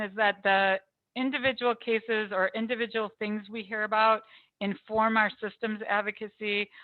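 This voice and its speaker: A normal speaking voice talks at a moderate pace. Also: woman. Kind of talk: presentation. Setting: video call.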